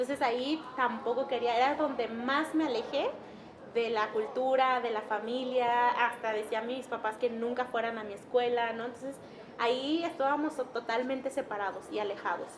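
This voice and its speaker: Someone talks at an even-keeled, moderate pace with fairly level intonation while noticeable noise runs in the background. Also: woman, high pitch for a woman. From Mixtec community in Mexico. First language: Mixtec (speaking Spanish). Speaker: interviewee sharing personal story. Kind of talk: testimony. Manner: halting.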